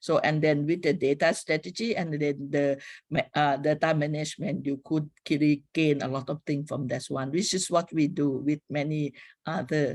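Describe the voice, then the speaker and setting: This is a very clean recording with a silent background. The speaker has a Thai accent. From Thailand. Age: 60s. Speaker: public health professor. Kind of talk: lecture. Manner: halting.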